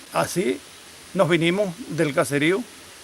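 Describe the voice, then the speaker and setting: This man's pitch variation is ordinary, heard through noticeable background noise. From Venezuela, Yaracuy state. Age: 70s. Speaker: farmer and hymn composer. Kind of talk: documentary interview testimony. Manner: halting, with repetitions.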